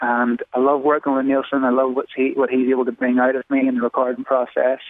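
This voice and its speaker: With an Irish accent, a man speaks at a fairly quick pace. His pitch is medium. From Ireland. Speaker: songwriter. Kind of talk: interview answer.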